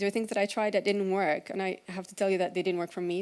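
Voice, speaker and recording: The woman's intonation is fairly even. Her voice sits at a medium pitch. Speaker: conference speaker, agile coach. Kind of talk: conference talk. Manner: fast.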